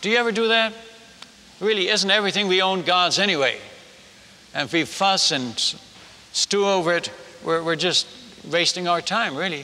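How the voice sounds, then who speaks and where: A man with a high pitch speaks in a raised, projected voice at a moderate pace, with long, frequent pauses. His tone is animated and warm, with ordinary pitch variation and very even loudness. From Netherlands. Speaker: missionary preacher. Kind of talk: humorous testimony-style sermon to a live audience, telling a story. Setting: stage with audience. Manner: animated, humorous storyteller, warm and self-deprecating. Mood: humorous yet earnest. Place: stage.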